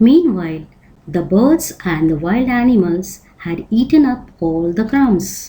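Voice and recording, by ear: A natural voice reading aloud, its intonation lively.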